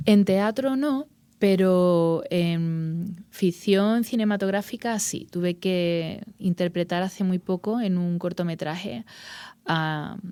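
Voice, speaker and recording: A woman's medium-pitched, dark, mellow voice in an Andalusian accent, very slow, with ordinary pitch variation, on a very clean recording with a silent background. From Andalusia, Spain. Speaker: actress and journalist. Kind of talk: interview. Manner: halting.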